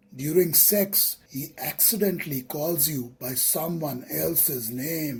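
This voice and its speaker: Speaking at a very slow pace with hardly any pauses, this voice has an Indian accent over noticeable background noise. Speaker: relationship counselor. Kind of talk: list narration.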